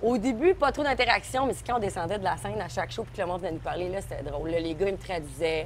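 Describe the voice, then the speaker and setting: Speaking very fast, a woman leaves hardly any pauses between her words. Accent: Quebec. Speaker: singer-songwriter. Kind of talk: casual chat. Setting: outdoor restaurant terrace. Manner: animated.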